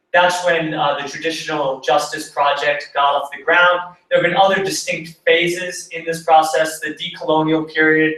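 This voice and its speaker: A man speaks with an unremarkable speaking voice. His pitch is fairly high and his pace moderate. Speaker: conference presenter. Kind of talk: academic presentation. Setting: conference talk.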